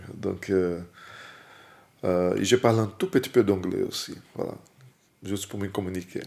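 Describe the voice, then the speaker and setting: A man with a Portuguese accent speaks in a fairly low voice at a fairly slow pace, with long, frequent pauses. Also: fairly even intonation. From Brazil. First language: Portuguese (speaking French). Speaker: musician. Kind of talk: casual interview. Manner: hesitant, with fillers.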